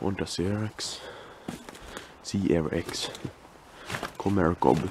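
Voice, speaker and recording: A man speaks quietly at a very slow pace in a very deep, low voice with ordinary pitch variation. The sound is dry with no echo, though there is noticeable background noise. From Finland. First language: Finnish. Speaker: urban explorer, video creator. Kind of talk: casual walkthrough commentary. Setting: outdoors, abandoned property. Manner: quiet, hushed; halting, hesitant. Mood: curious, surprised. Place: open country. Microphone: phone near.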